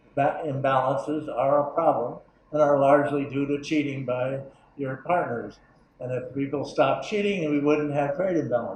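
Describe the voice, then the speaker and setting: A man with an American accent speaks at a moderate pace in a fairly high pitch, with audible room echo. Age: 80s+. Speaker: economics professor. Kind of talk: lecture. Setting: conference room with audience. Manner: halting, many fillers.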